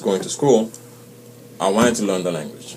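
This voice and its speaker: Music plays in the background. A man talks at a fairly low pitch. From Senegal. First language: French and Wolof. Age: adult, came at 19 for college. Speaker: immigrant interviewee. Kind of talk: interview for school class.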